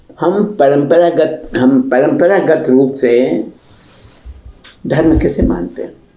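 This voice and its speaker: A man with very wide pitch swings and long, frequent pauses, noticeable background noise behind him. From Rajasthan, India. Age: 90s. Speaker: writer, literary scholar. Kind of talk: interview answer.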